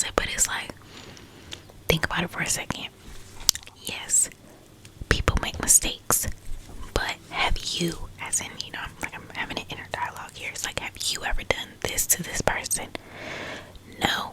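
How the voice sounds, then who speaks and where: A woman whispers at a moderate pace, her loudness swinging widely. Long pauses come often, over noticeable background noise. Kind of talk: ASMR whisper talk about healing and growth, casual personal chat. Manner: whispered, soft, calming.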